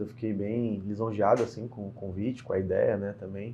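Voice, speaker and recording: A man's medium-pitched voice holds a monotone, flat intonation at a moderate speed. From Brazil, Porto Alegre (Rio Grande do Sul). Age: 30s. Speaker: state politician. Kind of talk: interview.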